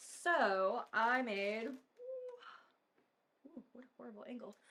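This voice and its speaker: With a Southern California accent, a woman speaks fairly slowly at a fairly high pitch, with ordinary pitch variation. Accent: valley girl. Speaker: mortician hosting a home cooking video. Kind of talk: casual cooking tutorial. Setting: home kitchen. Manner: chatty, filler-heavy (um, like).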